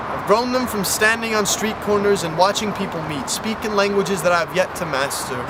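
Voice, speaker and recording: Loud and at a high pitch, a man talks at a fairly quick pace with hardly any pauses and ordinary pitch variation, over noticeable background noise and audible room echo. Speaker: spoken word poet. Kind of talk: poetry performance. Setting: outdoors.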